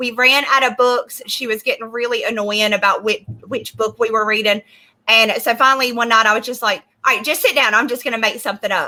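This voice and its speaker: In a Southern US accent, a woman talks at a fairly quick pace with fairly even intonation. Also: fairly high pitch for a woman. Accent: American, Southern. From US South. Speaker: comic book creator. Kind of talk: casual chat. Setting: livestream.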